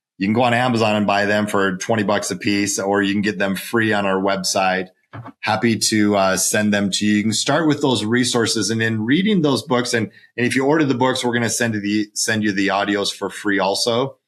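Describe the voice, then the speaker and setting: A man's fairly low, normal speaking voice at a fairly quick pace, very even in loudness, on a very clean recording with a silent background. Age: 50s. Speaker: financial advisor and author. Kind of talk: podcast interview. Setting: home office.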